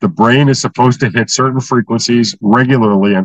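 A man speaks in an ordinary speaking voice at medium pitch and a moderate pace. The sound is dry and close, with no echo. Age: 60s. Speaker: inventor of brainwave entrainment method. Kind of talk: interview.

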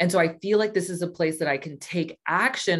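In a Californian accent, a woman speaks at a fairly low pitch. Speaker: astrologer and business coach. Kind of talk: interview conversation.

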